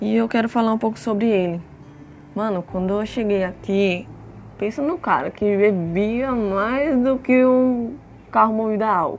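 Music plays in the background as a woman speaks at a fairly high pitch. Her pace is fairly slow, with ordinary pitch variation. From Brazil, Franco da Rocha, São Paulo state. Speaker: podcast host. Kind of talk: personal monologue, casual. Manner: casual, informal.

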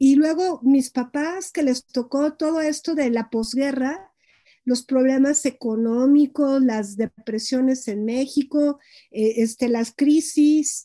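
In a dry, close sound with no echo, a woman speaks very slowly at a high pitch with a dark, mellow tone and ordinary pitch variation. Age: 50s. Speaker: psychologist and gestalt therapist. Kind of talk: interview on psychology.

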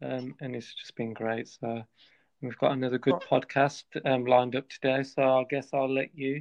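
At a medium pitch, a man talks in a monotone, flat intonation. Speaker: podcast co-host.

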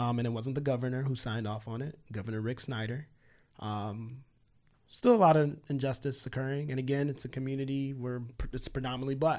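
Fairly quick and fairly even in intonation, a man with an American accent and medium pitch has an unremarkable speaking voice, recorded very cleanly against a silent background. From Michigan, Flint area. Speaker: forensic psychiatrist. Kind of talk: casual interview.

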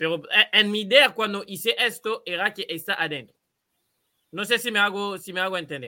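In a very clean recording with a silent background, a man with a high pitch uses a raised, projected voice with a bright, sharp tone at a moderate pace. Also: ordinary pitch variation. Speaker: football podcast host. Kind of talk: casual chat. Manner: halting, many repetitions.

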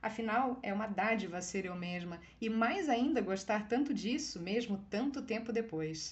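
A somewhat breathy woman with a Brazilian accent, fairly high in pitch, at a fairly slow pace with hardly any pauses, ordinary pitch variation and audible room echo. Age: 40s. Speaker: writer. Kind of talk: reading aloud.

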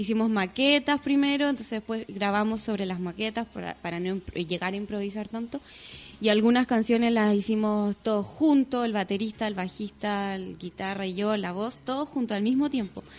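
A woman with a fairly high pitch and a plain, everyday voice speaks at a moderate pace with ordinary pitch variation. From Chile. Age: 30s. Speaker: singer and yoga teacher. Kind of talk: casual chat.

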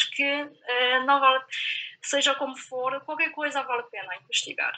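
A woman's high-pitched voice in a Chinese accent. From China. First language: Chinese (speaking Portuguese). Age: young. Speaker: PhD researcher. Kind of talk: roundtable discussion.

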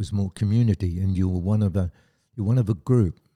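A man's very deep, low voice with an Australian accent and ordinary pitch variation, dry and close with no echo, on a very clean recording with a silent background. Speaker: army veteran. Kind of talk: interview.

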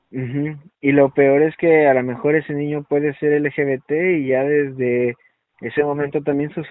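A man's fairly high-pitched voice, monotone and flat, at a moderate pace. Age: 30s. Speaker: clinical psychologist. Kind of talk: interview.

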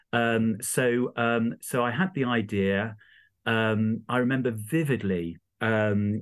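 A man with an East Midlands accent, fairly low in pitch, with fairly even intonation. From England, Rutland (East Midlands). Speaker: charity founder and entrepreneur. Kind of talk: interview. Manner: hesitant, many fillers.

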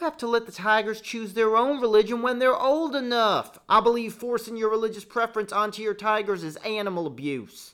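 A female-sounding put-on character voice, fairly high in pitch, moves at a fairly quick pace with hardly any pauses. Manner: folksy, defensive, then threatening.

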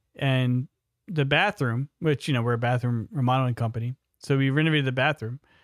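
A man with an American accent in a normal speaking voice, fairly even in intonation, at a moderate pace. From New York City. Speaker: podcast host, remodeling business owner. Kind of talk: casual chat.

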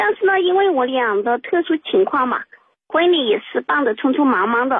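Her pitch sits high, and this woman swings it very widely as she talks. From southern China. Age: 30s. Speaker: caller. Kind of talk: phone call confiding personal problem. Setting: phone call. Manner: halting with many fillers.

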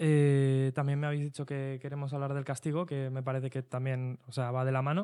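A man talks at a fairly quick pace with hardly any pauses, his intonation monotone and flat. The pitch sits fairly high, with a dark, mellow tone. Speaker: youth association educator. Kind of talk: casual chat.

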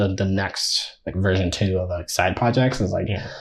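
A man talks at a fairly quick pace with a fairly low pitch. His voice is somewhat breathy, with ordinary pitch variation. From Nigeria. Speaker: software engineering student and product designer. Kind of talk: casual interview. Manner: halting, many fillers and repetitions.

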